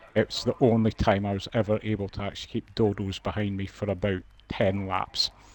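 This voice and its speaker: The speaker is a man with a fairly low pitch. He talks at a moderate pace in a monotone, flat intonation. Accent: Scottish. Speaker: sim racing co-commentator. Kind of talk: live commentary.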